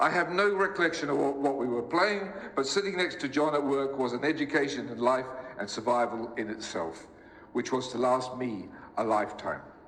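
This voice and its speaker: A man with a New Zealand accent talks at a moderate pace, fairly high pitched, with lively intonation. Noticeable background noise and audible room echo are present. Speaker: eulogist, orchestral musician. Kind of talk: eulogy. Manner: formal.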